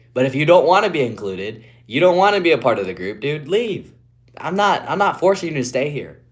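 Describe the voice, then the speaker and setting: A man with an American accent and vocal fry talks fairly quickly at a fairly high pitch, his pitch swinging very widely. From West Virginia, Appalachia. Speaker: streamer. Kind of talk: live stream chat.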